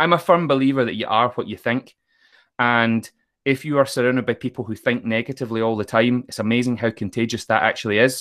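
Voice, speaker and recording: A man with a west of Scotland accent speaks at a very fast pace with ordinary pitch variation. The sound is dry and close, with no echo. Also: medium pitch for a man, very clean recording, silent background. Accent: west of Scotland Scottish. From Scotland, Troon in Ayrshire. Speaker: motivational speaker and author. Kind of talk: casual interview.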